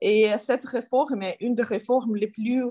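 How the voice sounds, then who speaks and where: Against a quiet background, a woman speaks with a fairly high pitch and a somewhat breathy sound. Her pace is fairly slow. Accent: Ukrainian. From Ukraine. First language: Ukrainian (speaking French). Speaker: politician. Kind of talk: interview. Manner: halting.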